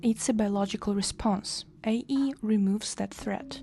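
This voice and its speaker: At a moderate pace, a woman with a non-native accent speaks in a fairly high, somewhat breathy voice with a dark, mellow tone. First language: Russian. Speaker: English teacher. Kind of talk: tutorial. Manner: hesitant with fillers.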